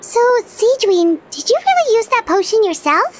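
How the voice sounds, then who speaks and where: A woman does a put-on character voice that is squeaky and extremely high-pitched, delivered at a moderate pace. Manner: curious, surprised.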